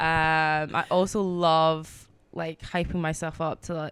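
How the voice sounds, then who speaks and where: On a very clean recording with a silent background, a woman with a Glaswegian accent speaks in a very deep, low pitch with monotone, flat intonation. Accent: proper Scottish (Glaswegian). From Scotland, Glasgow. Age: 20s. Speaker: DJ. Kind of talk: casual chat.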